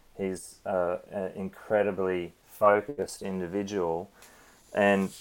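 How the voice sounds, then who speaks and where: A man is speaking with an Australian accent. His pitch sits fairly low. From Australia, Cairns (Queensland). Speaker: stunt performer and coordinator. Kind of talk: interview. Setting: remote call from home, late evening.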